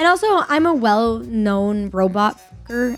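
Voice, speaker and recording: Music plays behind a woman's voice. Her pitch is fairly high. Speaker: streamer, content creator. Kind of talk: casual tier-list commentary to camera. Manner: crude, joking, energetic.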